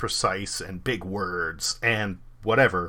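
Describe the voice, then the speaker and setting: A man with a Californian accent speaks in a bright, sharp tone on a very clean recording with a silent background. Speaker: video game streamer. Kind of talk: casual chat. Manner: animated.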